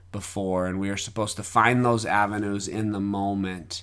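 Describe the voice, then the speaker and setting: Fairly low-pitched male voice with flat, monotone intonation and audible room echo. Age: 30s. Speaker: podcaster, devotional speaker. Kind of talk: reflective solo monologue.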